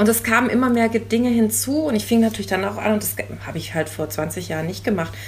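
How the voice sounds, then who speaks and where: A woman's speech is heard through noticeable background noise. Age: 50s. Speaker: bride interviewed about her second wedding dress. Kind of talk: casual interview.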